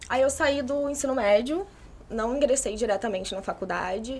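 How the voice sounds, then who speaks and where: With ordinary pitch variation, a woman keeps up a moderate pace. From Brazil, Macaé (Rio de Janeiro state). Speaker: architecture student. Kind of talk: casual interview chat.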